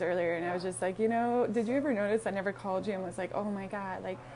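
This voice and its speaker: Her pitch medium, a woman talks at a fairly quick pace. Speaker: motivational speaker. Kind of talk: casual live stream monologue. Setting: coffee shop. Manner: halting, many fillers.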